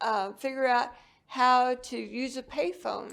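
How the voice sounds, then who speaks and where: A woman's high-pitched voice. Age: 70s. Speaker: author sharing life story. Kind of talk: interview testimony. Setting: seated in a wheelchair.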